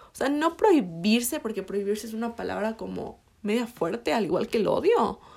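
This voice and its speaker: Lively intonation runs through this fairly quick delivery. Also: woman, fairly high pitch for a woman. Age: 20s. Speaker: podcast host. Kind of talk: casual chat. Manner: hesitant, many fillers.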